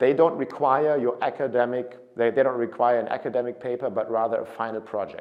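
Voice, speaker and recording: With a German accent, a man speaks at a fairly quick pace, his medium pitch held in fairly even intonation. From Germany. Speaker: study abroad consultant. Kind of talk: informational talk to camera. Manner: casual, some repetitions and self-corrections.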